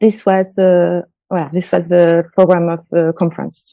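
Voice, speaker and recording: A voice with a French accent speaks at a fairly slow pace. Its tone is dark and mellow, in a dry, close sound with no echo. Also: woman. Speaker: conference speaker presenting a publication.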